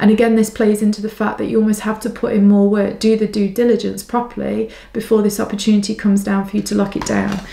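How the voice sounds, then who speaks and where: With noticeable background noise, a woman rushes along at a very fast pace in a monotone, flat delivery with hardly any pauses. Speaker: psychic tarot reader. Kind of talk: pick a card reading.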